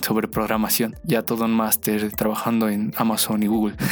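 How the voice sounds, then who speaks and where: Keeping a moderate pace, a man talks at a medium pitch. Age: 20s. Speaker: podcast host, web developer. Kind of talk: casual monologue.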